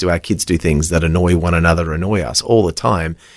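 Over a very clean recording with a silent background, a man with an Australian accent talks at a very fast pace in a very deep, low pitch. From Western Australia. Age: 30s. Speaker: children's worship leader and preacher. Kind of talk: casual chat; sermon. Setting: studio.

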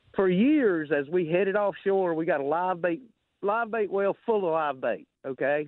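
In a Southern US accent, a man speaks in a high voice at a moderate pace. His loudness stays very even. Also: lively intonation. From Alabama Gulf Coast. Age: 60s. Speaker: caller. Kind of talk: call-in storytelling. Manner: animated.

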